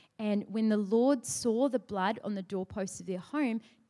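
At a fairly slow pace, a woman with a New Zealand accent talks in a dark, mellow tone at a fairly high pitch, her intonation lively. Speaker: ministry worker. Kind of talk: church talk. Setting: church stage with microphone and audience.

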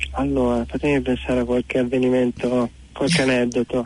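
The man's voice sits at a medium pitch. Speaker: motorcycle traveller. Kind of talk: phone interview.

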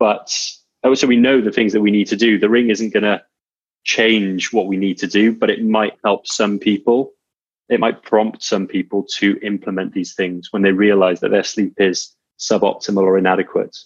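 A man speaks with monotone, flat intonation. His pitch is fairly low. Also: moderate pace. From Wales. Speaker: fitness coach and entrepreneur. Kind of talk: interview.

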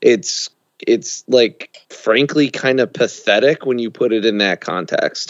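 Speaking at a fairly slow pace, a man has an ordinary speaking voice of medium pitch with ordinary pitch variation. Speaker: co-host of another podcast, guest. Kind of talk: casual podcast discussion.

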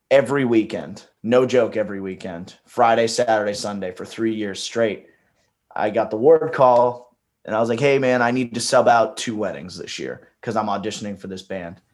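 This man has a normal speaking voice at medium pitch, with ordinary pitch variation, big swings in loudness and a moderate pace. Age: 20s. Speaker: singer-songwriter and touring musician. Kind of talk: casual chat. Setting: podcast interview.

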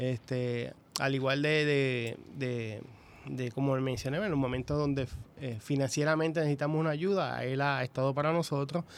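The speaker keeps a moderate pace with fairly even intonation. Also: man, fairly high pitch for a man. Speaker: police sergeant. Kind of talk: radio interview. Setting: radio studio. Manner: hesitant, many fillers.

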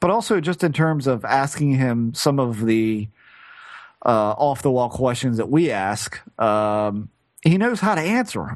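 Against a quiet background, a man with an American accent uses a normal speaking voice with lively intonation. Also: medium pitch for a man, fairly slow pace. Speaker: podcast co-host. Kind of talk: casual chat.

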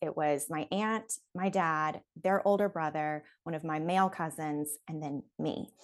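Against a quiet background, a woman's pitch shifts by an ordinary amount as she talks. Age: 30s. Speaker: cancer-prevention surgery patient and blogger. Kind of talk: casual interview testimony. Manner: talkative, many filler words.

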